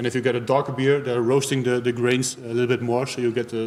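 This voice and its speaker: A man talks at a very fast pace. He has a Dutch accent. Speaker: beer tasting host. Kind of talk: live-streamed beer tasting talk. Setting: live stream. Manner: halting, many hesitations.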